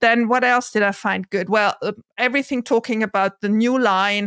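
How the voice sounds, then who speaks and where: A woman at a fairly quick pace with fairly even intonation, in a dry sound with no echo over a quiet background. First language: not English. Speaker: investor and content creator. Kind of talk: casual discussion. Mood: engaged, upbeat. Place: home room.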